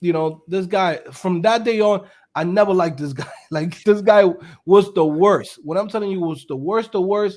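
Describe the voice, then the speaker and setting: A man with high pitch speaks in an animated tone. His pace is moderate and his pitch variation ordinary. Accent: New York. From New York City. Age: 30s. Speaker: web developer and entrepreneur. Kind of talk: casual chat.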